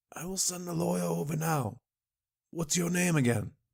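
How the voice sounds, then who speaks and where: The speaker uses a put-on character voice that sounds raspy. The pace is moderate. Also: man, fairly high pitch for a man. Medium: read story. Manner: brisk, decisive.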